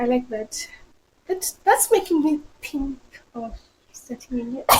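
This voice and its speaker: A woman's high voice in a Zimbabwean accent, with very wide pitch swings. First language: a Zimbabwean language, not English. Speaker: friend of the host. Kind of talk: casual chat.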